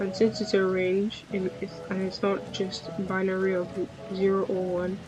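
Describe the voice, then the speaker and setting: With music in the background, a woman speaks at a fairly slow pace in monotone, flat intonation. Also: medium pitch for a woman. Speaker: electronics maker streamer. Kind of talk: live build stream.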